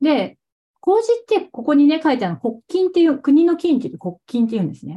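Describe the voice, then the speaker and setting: Her voice high-pitched yet dark and mellow in tone, a woman speaks at a fairly quick pace with very wide pitch swings. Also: big swings in loudness. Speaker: cooking teacher. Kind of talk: interview. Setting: video call. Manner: casual, frequent fillers.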